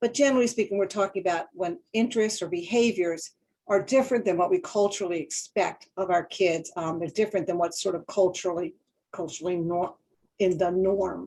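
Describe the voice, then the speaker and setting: A woman talks at a fairly quick pace with a dark, mellow tone. Her pitch sits in the medium range with ordinary variation. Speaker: school counselor, webinar presenter. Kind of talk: webinar lecture. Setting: online webinar. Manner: fast.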